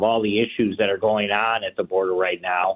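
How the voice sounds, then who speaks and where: The speaker has an American accent. The pace is moderate. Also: man. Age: 60s. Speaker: politician. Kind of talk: radio interview. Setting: phone call. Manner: halting, many fillers.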